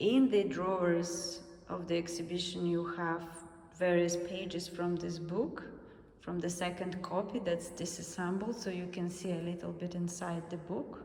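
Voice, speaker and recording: A woman with a Russian accent speaks at a moderate pace in a fairly low pitch with monotone, flat intonation. Noticeable background noise and audible room echo are present. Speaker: artist. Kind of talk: guided exhibition tour. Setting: museum gallery.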